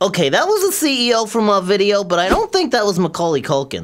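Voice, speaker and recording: A cartoonish character voice rattles along at a very fast pace. Its pitch is fairly high. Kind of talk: comedic puppet sketch banter. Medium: puppet.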